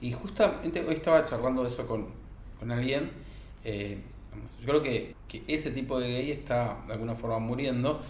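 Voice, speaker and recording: Amid noticeable background noise and audible room echo, a man at medium pitch speaks at a moderate pace with ordinary pitch variation. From Argentina, rural interior. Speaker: podcast panelist. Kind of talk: casual discussion. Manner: halting, repeats words.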